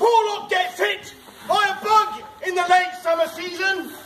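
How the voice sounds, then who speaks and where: A man talks loudly at a fairly slow pace, his pitch extremely high and his intonation fairly even. Audible room echo and light background noise fill the recording. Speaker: town crier. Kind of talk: town crier proclamation in rhyme. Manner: loud, projected, ceremonial. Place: street. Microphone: camera far.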